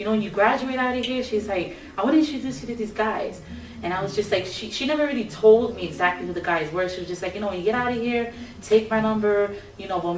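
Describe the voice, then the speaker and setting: A woman talks at a very fast pace with an American accent. Music plays in the background, and room echo is audible. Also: medium pitch for a woman, ordinary pitch variation. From New York City, Brooklyn (Bushwick). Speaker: singer. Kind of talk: interview.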